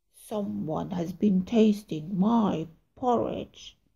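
A woman's growling, put-on character voice at medium pitch, at a very slow pace

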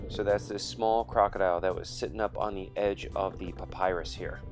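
A man speaks while clear music plays in the background. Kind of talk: commentary.

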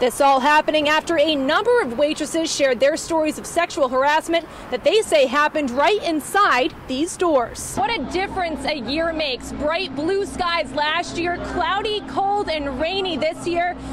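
A woman with an American accent speaks at a high pitch, with hardly any pauses. Noticeable background noise is present. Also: ordinary pitch variation, moderate pace, dry sound with no echo. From United States. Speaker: TV news anchor and reporter. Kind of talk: TV news reporter stand-ups and packages. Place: street. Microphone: handheld.

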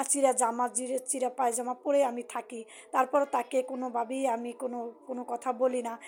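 A woman's high-pitched voice with monotone, flat intonation. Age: 50s. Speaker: vlogger sharing personal life story. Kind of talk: personal testimony monologue.

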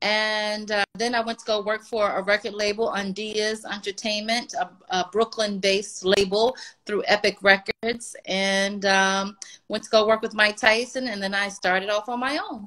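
In an American accent, a woman speaks at a moderate pace with a bright, sharp tone and fairly even intonation. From Washington, D.C. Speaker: music publicist; guest. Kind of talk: interview. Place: home room. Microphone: video call.

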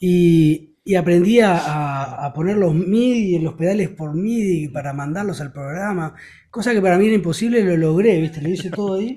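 A dark, mellow tone at a moderate pace, with ordinary pitch variation. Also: man, high pitch for a man. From Uruguay. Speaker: rock singer and guitarist; guest. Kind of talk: interview. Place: home room. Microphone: studio mic.

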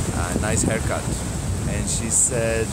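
Loud background noise fills the recording. A man speaks over it at a fairly slow pace. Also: dry sound with no echo. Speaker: travel vlogger. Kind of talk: casual vlog chat. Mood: reflective, personal story. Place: beach. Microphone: phone near.

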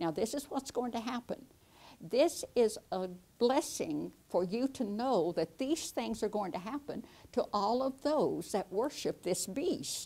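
Here a woman's voice has a dark, mellow tone. Her pitch swings very widely. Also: fairly slow pace. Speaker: Bible teacher. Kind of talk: Bible teaching lesson. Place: studio. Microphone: lapel.

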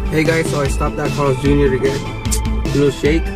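Over loud music in the background, a man speaks at a fairly slow pace. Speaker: vlogger. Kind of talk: casual vlog chat. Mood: upbeat, excited to leave. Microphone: phone near.

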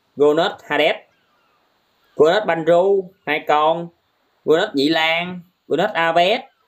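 A man at a very slow pace, with long, frequent pauses, over a quiet background. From Vietnam. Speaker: gaming live streamer. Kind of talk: casual live stream commentary. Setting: TikTok live stream. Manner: animated.

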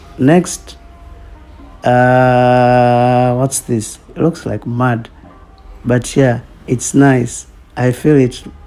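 A man at a medium pitch, very slow pace and monotone, flat intonation, with long, frequent pauses and music in the background. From Tanzania. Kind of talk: humorous makeup tutorial voiceover. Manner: casual, unsure, joking.

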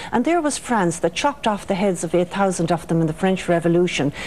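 In an Irish accent, a woman talks at a fairly quick pace with lively intonation and a medium pitch. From Ireland. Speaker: author. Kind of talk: radio interview. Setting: studio. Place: studio. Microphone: lapel.

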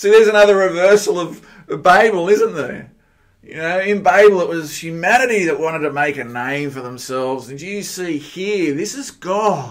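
Speaking with an Australian accent at a moderate pace, a man with a high pitch uses lively intonation and big swings in loudness over a quiet background. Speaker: pastor; minister. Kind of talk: sermon. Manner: hesitant, with fillers.

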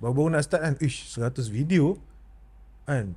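The man's voice is somewhat breathy, with a dark, mellow tone. His pitch variation is ordinary. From Malaysia. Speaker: podcast host. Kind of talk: interview. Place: studio. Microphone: studio mic.

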